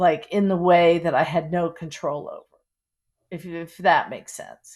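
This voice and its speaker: Speaking fairly slowly in a flat monotone, a woman with an American accent has a fairly low pitch. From Pittsburgh, US. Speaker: memoir author. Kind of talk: interview. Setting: podcast interview. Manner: halting, many fillers.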